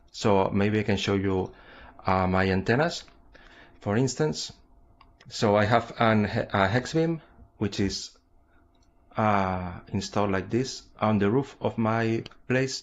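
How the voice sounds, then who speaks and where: Very slow and marked by long, frequent pauses, a man's fairly low voice holds a very even loudness. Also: ordinary pitch variation. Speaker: amateur radio operator. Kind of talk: show-and-tell presentation on a radio net. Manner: halting, many fillers and repetitions.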